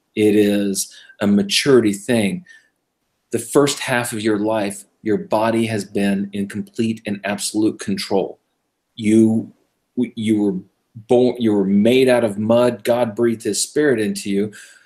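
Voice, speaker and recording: A man's fairly low voice in a Californian accent, fairly slow and with fairly even intonation. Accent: General American (Californian). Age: 50s. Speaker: radio show host, Messianic believer. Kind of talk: casual interview chat.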